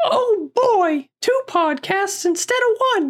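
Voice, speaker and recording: The speaker uses a put-on character voice at an extremely high pitch and a very slow pace. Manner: cheerful, cartoonish.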